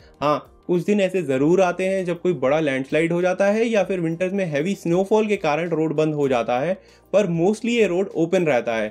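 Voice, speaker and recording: With faint music in the background, a man at a high pitch speaks at a moderate pace with hardly any pauses. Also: ordinary pitch variation. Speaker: travel vlogger. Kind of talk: travel guide explanation to camera. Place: home room.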